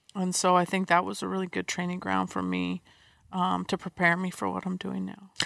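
The dry, close recording with no echo captures a fairly quick speaker with an American accent. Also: woman. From US West Coast (San Diego). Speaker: athletic trainer and physical therapist. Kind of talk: interview.

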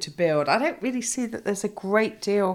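Ordinary pitch variation marks a woman's voice on a very clean recording with a silent background. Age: 50s. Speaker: family business owner. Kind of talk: casual interview.

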